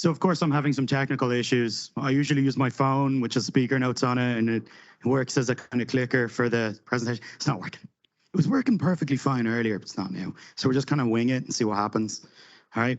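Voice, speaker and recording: With an Irish accent, a man speaks very fast at a medium pitch with ordinary pitch variation. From Ireland. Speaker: conference speaker, software delivery lead. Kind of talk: conference talk. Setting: stage with audience. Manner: animated.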